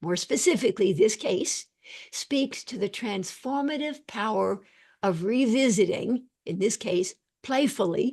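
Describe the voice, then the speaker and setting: A woman's fairly high, somewhat breathy voice, with lively intonation and a fairly slow pace, in front of a quiet background. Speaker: psychiatrist presenting a lecture. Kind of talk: lecture. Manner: formal.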